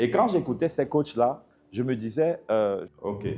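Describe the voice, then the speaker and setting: Medium-pitched male speech with a dark, mellow tone and ordinary pitch variation. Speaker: pastor. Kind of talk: sermon.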